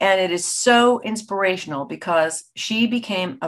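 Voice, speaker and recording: A woman with an American accent at a fairly slow pace, lively intonation, quiet background. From United States. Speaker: voice actor. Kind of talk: interview answer. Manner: casual, conversational. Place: home room. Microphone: webcam.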